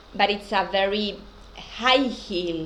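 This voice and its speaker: Speaking at a very slow pace, a woman talks with a non-native accent. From Argentina, Buenos Aires. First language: Spanish. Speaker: spiritual teacher. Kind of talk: casual talk to camera. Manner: hesitant.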